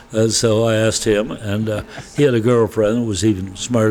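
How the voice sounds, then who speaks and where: A man's fairly low voice with fairly even intonation over noticeable background noise. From US Midwest, Wisconsin. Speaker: winery owner, former neurosurgeon. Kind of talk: interview. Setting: on location at a winery.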